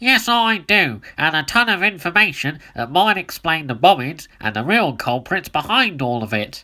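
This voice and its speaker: A put-on character voice sits at a middle pitch with very wide pitch swings. It moves at a moderate pace. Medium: read story.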